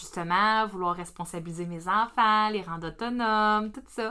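Bright and sharp in tone, a woman with a Quebec accent speaks at a moderate pace with ordinary pitch variation. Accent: Québécois French. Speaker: perinatal educator. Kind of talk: casual podcast discussion.

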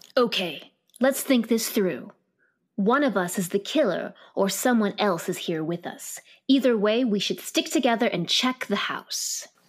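A woman with an ordinary speaking voice uses a fairly high pitch. Her intonation is lively and her pace fairly slow. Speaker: actor playing Mix Titmouse.

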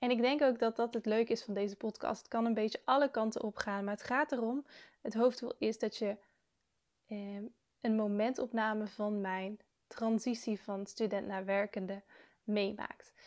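Against a quiet background, a woman with a fairly high pitch talks at a moderate pace with fairly even intonation. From Netherlands, South Limburg. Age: 20s. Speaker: student podcaster. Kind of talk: casual monologue. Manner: hesitant, with filler sounds.

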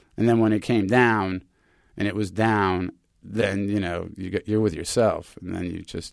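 A man with an American accent has a plain, everyday voice, fairly low in pitch, at a moderate pace with fairly even intonation. His loudness swings widely on a very clean recording with a silent background. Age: 50s. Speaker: podcast co-host. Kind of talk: casual chat. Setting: studio.

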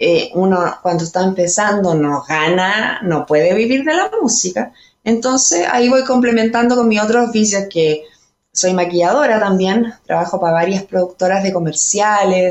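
A woman's fairly slow speech with very even loudness and ordinary pitch variation. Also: medium pitch for a woman. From Chile, Colchagua (central Chile). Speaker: singer-songwriter. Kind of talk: casual interview chat. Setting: remote from home.

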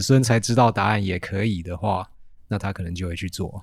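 A man speaks in a Taiwanese accent at a moderate pace with fairly even intonation. The recording is very clean, with a silent background. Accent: Taiwanese Mandarin. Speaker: teacher with a biology degree. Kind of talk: casual chat.

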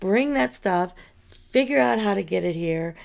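Her pitch swinging very widely, a woman talks fairly slowly. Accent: western Pennsylvania. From US, western Pennsylvania (Armstrong County). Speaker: county commissioner candidate. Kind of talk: interview.

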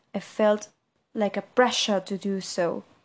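Against a quiet background, a woman with a Spanish accent speaks at a very slow pace. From Argentina, Buenos Aires. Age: 20s. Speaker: podcaster. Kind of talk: casual monologue.

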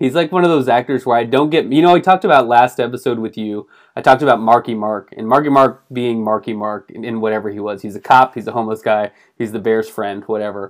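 A very fast pace with ordinary pitch variation. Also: man, medium pitch for a man. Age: 40s. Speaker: podcast co-host. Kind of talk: casual chat. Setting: video call.

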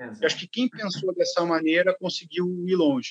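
The man's voice sits at a high pitch. He talks at a moderate pace. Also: dry, close sound with no echo. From São Paulo state interior (Limeira), Brazil. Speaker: swimming coach and sports marketer. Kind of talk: casual interview chat.

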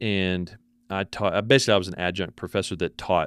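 A man with a Texan accent, very deep and low in pitch, at a fairly quick pace with ordinary pitch variation, in dry, close sound with no echo on a very clean recording with a silent background. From Texas. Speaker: photographer and professor. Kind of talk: casual interview. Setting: his office at university. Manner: repeats words often.

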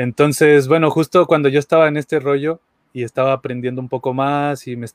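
Dry and close with no echo, the recording has a man with a plain, everyday voice speaking at a fairly quick pace, a fairly high pitch and fairly even intonation. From Mexico, Aguascalientes. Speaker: musician and devotee. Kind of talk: casual chat.

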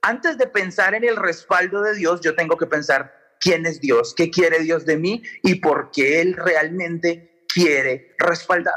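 At a very slow pace, a man speaks in a high pitch. His pitch varies in an ordinary way. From Colombia. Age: 30s. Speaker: pastor and electronic music DJ. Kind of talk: radio sermon-style talk.

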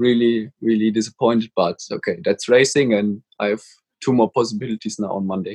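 A man with a German accent talks at a fairly quick pace with fairly even intonation, in a dry, close sound with no echo. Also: medium pitch for a man. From Germany. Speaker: motorcycle racer. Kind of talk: casual interview. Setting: video call. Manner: halting.

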